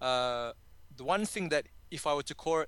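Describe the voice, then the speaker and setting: This speaker has an Australian accent and a bright, sharp tone, talking at a moderate pace with ordinary pitch variation. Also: man. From Sydney, Australia. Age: 30s. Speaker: confidence coach. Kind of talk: podcast interview. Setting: call.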